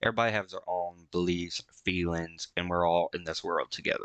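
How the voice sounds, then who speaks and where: Against a quiet background, a man with a Southern US accent speaks at a moderate pace with a very deep, low pitch and a bright, sharp tone, the sound dry and close with no echo. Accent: American country. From rural US. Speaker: VTuber reacting to music. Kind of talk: reaction commentary.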